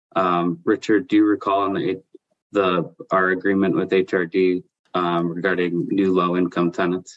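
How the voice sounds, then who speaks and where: A man speaks at a fairly slow pace in a very deep, low pitch. His intonation is monotone and flat. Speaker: property developer. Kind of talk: formal council committee meeting.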